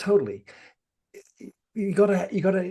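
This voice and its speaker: A man's voice has a dark, mellow tone and a somewhat breathy quality. He talks at a moderate pace. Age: 60s. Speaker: podcast host and padel coach. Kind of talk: interview conversation.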